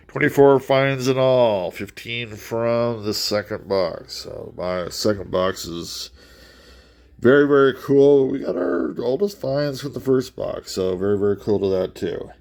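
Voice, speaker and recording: Noticeable background noise runs under the voice. The speech is fairly slow, with lively intonation. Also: man, medium pitch for a man. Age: 60s. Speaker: coin collecting YouTuber. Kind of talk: casual hobby commentary, solo video. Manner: animated.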